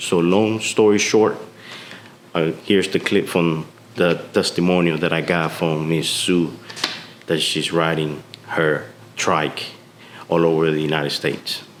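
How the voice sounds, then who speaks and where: Noticeable background noise surrounds a man with a very deep, low pitch who speaks at a moderate pace, keeping very even loudness and fairly even intonation while taking long, frequent pauses. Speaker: motorcycle vlogger. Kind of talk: casual talk to camera.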